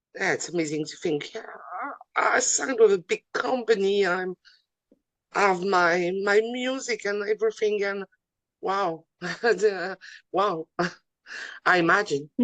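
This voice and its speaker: In a French accent, a woman with a medium pitch talks at a fairly slow pace, using ordinary pitch variation and long, frequent pauses. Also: dry, close sound with no echo. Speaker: wrestling interviewer. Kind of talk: interview. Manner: halting, many fillers.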